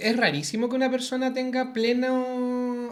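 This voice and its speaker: Very slow speech with a Chilean accent. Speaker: teacher and social media creator. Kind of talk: interview conversation.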